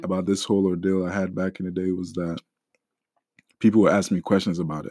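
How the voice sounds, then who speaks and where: An unremarkable speaking voice from a man, fairly low in pitch, at a fairly quick pace. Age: young. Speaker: church deacon sharing mental health story. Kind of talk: testimony.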